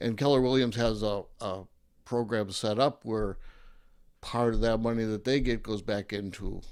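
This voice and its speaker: A plain, everyday voice from a man at medium pitch, fairly even in intonation and moderate in pace, on a very clean recording with a silent background. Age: 50s. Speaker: real estate agent. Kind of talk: interview.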